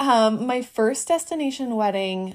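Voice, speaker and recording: The pace stays moderate. It is an unremarkable speaking voice. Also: woman. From US Midwest, Northeast Wisconsin. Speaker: wedding photographer. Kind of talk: casual chat.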